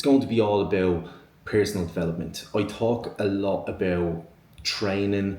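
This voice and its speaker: In an Irish accent, a man speaks fairly slowly with a very deep, low pitch and a somewhat breathy sound. His intonation stays fairly even, and audible room echo surrounds the voice. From Ireland, Dublin. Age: 20s. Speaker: online fitness coach, podcast host. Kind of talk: solo podcast monologue. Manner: many filler ums and repetitions.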